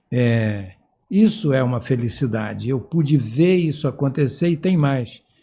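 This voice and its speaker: A man speaks at a fairly slow pace with a medium pitch, a dark, mellow tone and lively intonation, sounding somewhat breathy. The recording is very clean, with a silent background. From Brazil, Amapá (Macapá). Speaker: retired professor of medicine, endocrinologist. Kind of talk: interview.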